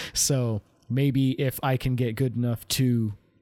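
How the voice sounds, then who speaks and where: The voice has a dark, mellow tone, heard dry and close with no echo. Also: man. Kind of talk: casual chat. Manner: monotone.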